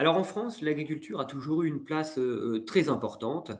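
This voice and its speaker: Speaking at a moderate pace, a man with a fairly high pitch uses ordinary pitch variation. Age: 30s. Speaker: webinar moderator and freelance wine journalist. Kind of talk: webinar presentation. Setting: online webinar. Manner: hesitant, many fillers.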